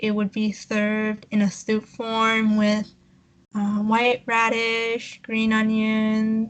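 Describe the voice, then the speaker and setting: A woman with a non-native accent speaks at a fairly high pitch against a quiet background. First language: not English. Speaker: podcast co-host. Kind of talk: casual chat. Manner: halting.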